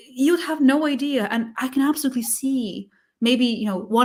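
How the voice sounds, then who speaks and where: Speaking at a moderate pace, a woman with a non-native accent uses ordinary pitch variation. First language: not English. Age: 40s. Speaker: sales engineering livestream co-host. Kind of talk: casual interview chat. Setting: live stream.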